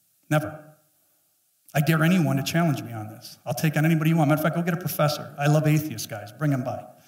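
Speaking very fast, a man uses a fairly high pitch. The background is quiet, though some room echo is audible. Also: ordinary pitch variation, big swings in loudness. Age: 50s. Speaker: pastor. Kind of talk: sermon. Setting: church. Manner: animated. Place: church. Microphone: headset.

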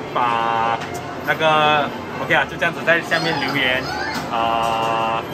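A man talks while music is clearly heard behind him. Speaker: claw machine vlogger. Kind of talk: casual vlog chat. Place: shop.

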